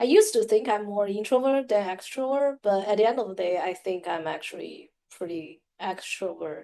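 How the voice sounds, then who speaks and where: Speaking with a non-native accent, a woman uses a medium pitch, a dark, mellow tone and lively intonation, moving at a moderate pace with hardly any pauses. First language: not English. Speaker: podcast co-host. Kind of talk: casual chat. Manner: halting, many fillers.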